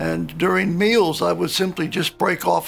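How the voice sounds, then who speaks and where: Music plays in the background. A man is speaking. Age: 70s. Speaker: dental implant patient. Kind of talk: patient testimonial.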